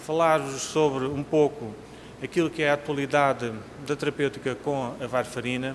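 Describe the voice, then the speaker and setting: Against noticeable background noise, a man speaks at a moderate pace and fairly high pitch with fairly even intonation. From Portugal. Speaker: cardiologist, conference speaker. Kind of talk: conference lecture. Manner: formal.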